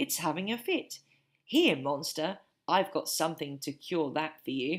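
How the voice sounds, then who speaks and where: Putting on a character voice, a woman booms at a moderate pace in a fairly low pitch with ordinary pitch variation. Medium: read story. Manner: cheerful, blustering.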